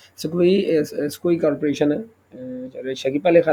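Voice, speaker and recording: The voice is a man's, dark and mellow in tone. He keeps a moderate speed. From Pakistan. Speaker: YouTuber, defence news commentator. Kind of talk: news commentary monologue. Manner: halting, many fillers and self-corrections.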